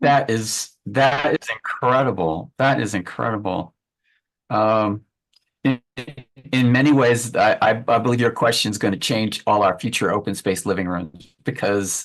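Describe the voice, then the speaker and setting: A man's unremarkable speaking voice at medium pitch, with ordinary pitch variation and a quiet background. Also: fairly slow pace. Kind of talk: interview question.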